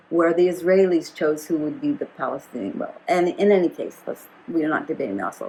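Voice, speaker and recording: Woman talking very fast with hardly any pauses and big swings in loudness. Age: 80s+. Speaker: activist and educator. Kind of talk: interview conversation. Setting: at home. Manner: halting, with repetitions.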